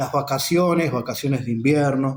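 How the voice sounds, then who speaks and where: A man talks in a somewhat breathy voice. Audible room echo surrounds it. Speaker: teacher explaining an education text. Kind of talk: lecture.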